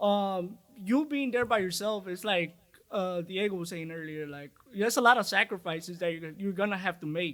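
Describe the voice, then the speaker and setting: A high-pitched man with a bright, sharp tone and ordinary pitch variation, on a very clean recording over a silent background. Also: moderate pace. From Chicago, US. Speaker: boxing trainer and boxer. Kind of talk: casual interview. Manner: hesitant, filler-heavy.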